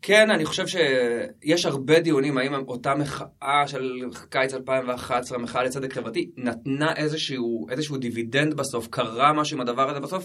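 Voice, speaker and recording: A man talking with hardly any pauses amid noticeable background noise. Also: medium pitch for a man, ordinary pitch variation, moderate pace. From Jerusalem, Israel. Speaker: social activist. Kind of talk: interview.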